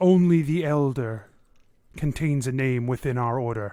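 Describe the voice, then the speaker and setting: Someone puts on a character voice, speaking at a moderate pace with ordinary pitch variation. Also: man, medium pitch for a man. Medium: actual play. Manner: formal, solemn.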